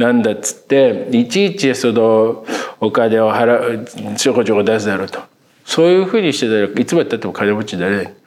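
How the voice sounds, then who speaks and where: Against noticeable background noise, a man talks fairly quickly at a medium pitch, with ordinary pitch variation and big swings in loudness. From Tokyo, Ota ward (Kamata). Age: 50s. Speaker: film critic podcast co-host. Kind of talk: casual interview chat.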